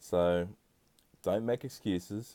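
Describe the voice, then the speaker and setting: A man speaks in a relaxed tone with a New Zealand accent, his pitch very deep and low. The tone is dark and mellow, with ordinary pitch variation. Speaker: podcast host. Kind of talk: casual solo podcast monologue. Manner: relaxed, conversational with fillers.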